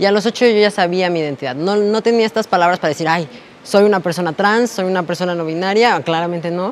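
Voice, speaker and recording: Speech comes at a very fast pace over light background noise. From Mexico City (Iztapalapa); Mexico City. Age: 20s. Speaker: interviewee. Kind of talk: personal testimony interview. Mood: reflective, personal.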